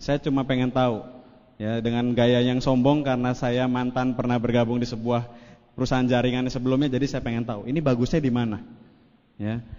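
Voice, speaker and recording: Audible room echo surrounds a voice talking at a fairly quick pace. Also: man, medium pitch for a man. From Indonesia, West Java (Cirebon). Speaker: network marketing speaker. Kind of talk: motivational seminar talk. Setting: stage with audience. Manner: animated.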